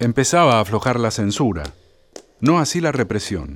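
A man's pitch swings very widely as he speaks fairly slowly. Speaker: documentary narrator. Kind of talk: scripted narration.

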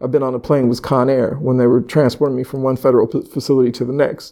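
A man speaks with a West Coast accent. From California (Sacramento). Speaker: hospital violence intervention manager. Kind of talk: casual interview chat. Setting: in person, Philadelphia.

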